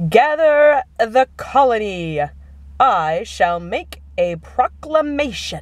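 A put-on character voice, female-sounding and fairly high, at a very slow pace with very wide pitch swings. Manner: heroic, regal.

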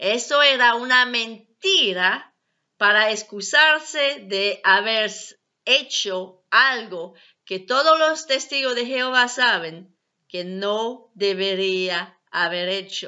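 A woman at a very slow pace, fairly high in pitch, with lively intonation against a quiet background. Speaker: ex-Jehovah's Witness video blogger. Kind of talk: personal testimony vlog. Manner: halting, non-native phrasing. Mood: earnest, calm. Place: home room. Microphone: webcam.

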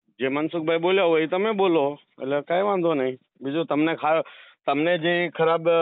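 High-pitched speech from a man, with fairly even intonation. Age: 30s. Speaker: social media creator. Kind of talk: heated debate.

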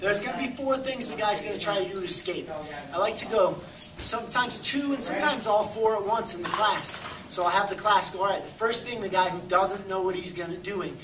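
A man with a high pitch and ordinary pitch variation, very fast pace, and noticeable background noise. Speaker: martial arts instructor. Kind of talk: tutorial. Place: gym. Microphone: camera far.

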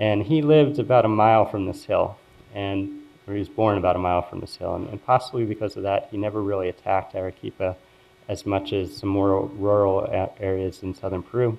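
A plain, everyday voice from a man with an American accent, fairly low in pitch, fairly quick and fairly even in intonation. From US Northeast, Philadelphia. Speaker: epidemiology professor. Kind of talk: lecture. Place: hall. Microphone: podium.

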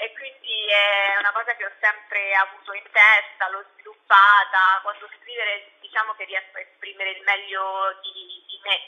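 A woman speaks at a moderate pace and medium pitch with hardly any pauses, in a monotone, flat intonation. Her loudness swings widely against a quiet background. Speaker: journalist and blogger. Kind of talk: radio interview, casual chat. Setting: online radio interview. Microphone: phone near.

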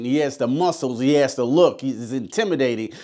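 Moderate pace from a man, quiet background behind him. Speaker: movie reviewer. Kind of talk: review commentary. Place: studio.

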